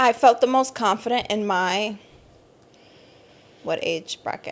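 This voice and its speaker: This woman has an unremarkable speaking voice, pitched fairly high, talking at a fairly slow pace with ordinary pitch variation. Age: 30s. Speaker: podcast co-host. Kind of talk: casual chat.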